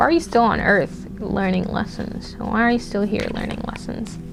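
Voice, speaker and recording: At a moderate pace, a woman speaks in an animated tone with music in the background. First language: not English. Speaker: tarot reader. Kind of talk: pick-a-card tarot reading. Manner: casual, profanity-heavy, animated.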